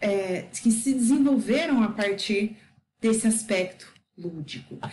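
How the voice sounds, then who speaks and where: Very slow, somewhat breathy woman's voice, fairly high in pitch, with ordinary pitch variation. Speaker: educator explaining a book. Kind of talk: lecture.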